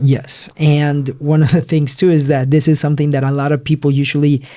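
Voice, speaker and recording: A fairly high male voice with a dark, mellow tone at a moderate pace. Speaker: real estate investor, podcast co-host. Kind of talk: casual podcast chat.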